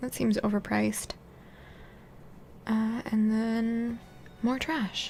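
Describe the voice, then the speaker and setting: The speaker is soft-spoken and moves at a fairly slow pace. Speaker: video game streamer. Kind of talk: casual gameplay commentary.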